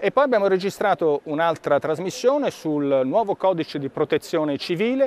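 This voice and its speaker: A man talks at a fairly quick pace with lively intonation. The sound is dry, with no echo. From Italy. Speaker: member of the European Parliament; politician. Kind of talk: political video update. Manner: formal. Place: hall. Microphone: lapel.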